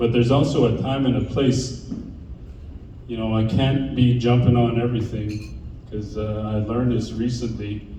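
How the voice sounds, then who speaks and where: A man's monotone, flat delivery amid noticeable background noise and audible room echo. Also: medium pitch for a man, moderate pace. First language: Dene. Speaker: keynote speaker and podcast host. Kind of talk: keynote speech.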